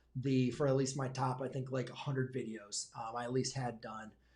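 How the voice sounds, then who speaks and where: Speaking in an American accent, the voice sounds somewhat breathy. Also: man. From Michigan, US. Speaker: high school math teacher and YouTuber. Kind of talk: live stream Q&A. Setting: livestream. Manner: fast; hesitant, many fillers.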